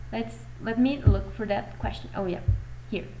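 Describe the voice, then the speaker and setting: A woman with a Mexican accent is heard with noticeable background noise and audible room echo. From Mexico. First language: Spanish. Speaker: fan vlogger. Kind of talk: casual chat. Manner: animated.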